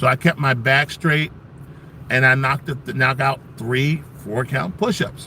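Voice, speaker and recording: Against noticeable background noise, a man with a fairly high voice talks at a fairly slow pace in an animated tone, with ordinary pitch variation. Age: 60s. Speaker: military veteran and benefits advocate selling pain patches. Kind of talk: casual livestream talk and product pitch.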